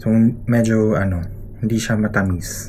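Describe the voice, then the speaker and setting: A soft-spoken man is heard through audible room echo and noticeable background noise. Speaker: travel vlogger. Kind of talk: casual vlog narration. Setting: hotel room.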